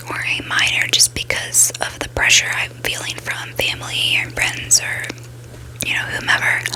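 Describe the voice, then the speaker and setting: A woman whispers over noticeable background noise. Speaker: ASMR creator. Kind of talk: casual talk to camera. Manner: whispered, soft-spoken.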